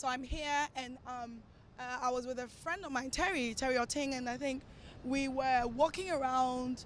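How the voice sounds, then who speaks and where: Woman's high-pitched voice at a moderate pace, fairly even intonation, noticeable background noise. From Ghana, then London from age nine. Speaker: actress and TV presenter. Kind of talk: casual interview. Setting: outdoors in Times Square. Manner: hesitant, many fillers.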